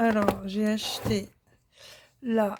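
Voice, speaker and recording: A woman talks at a very slow pace in a fairly high pitch. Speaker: crafting youtuber. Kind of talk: casual haul video talk. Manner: hesitant, many fillers.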